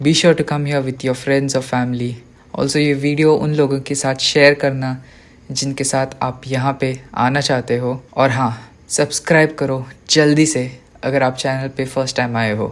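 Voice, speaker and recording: The speaker is soft-spoken and talks at a moderate pace. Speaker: travel vlogger. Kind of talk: travel vlog narration.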